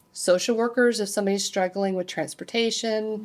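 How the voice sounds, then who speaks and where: A woman speaks in an ordinary speaking voice, fairly high in pitch with ordinary pitch variation. The recording is very clean, with a silent background. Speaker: conference presenter. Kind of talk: conference presentation.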